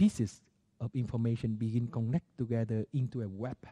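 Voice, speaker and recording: In a somewhat breathy voice of medium pitch with a dark, mellow tone, a man with a non-native accent speaks at a moderate pace with fairly even intonation, the sound dry and close with no echo. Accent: non-native, unfamiliar to listeners. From Vietnam. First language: Vietnamese. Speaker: Buddhist monastic teacher. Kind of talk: dharma talk. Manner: halting, with frequent fillers.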